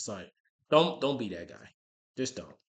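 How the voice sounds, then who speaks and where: Very fast in pace, a man's speech shows ordinary variation in pitch. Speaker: military veteran. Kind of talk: casual chat. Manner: halting, many fillers.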